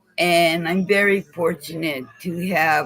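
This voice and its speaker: With music playing in the background, a man with a fairly high pitch speaks at a very slow pace. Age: 60s. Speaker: vlogger. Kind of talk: personal monologue vlog. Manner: halting, repetitive.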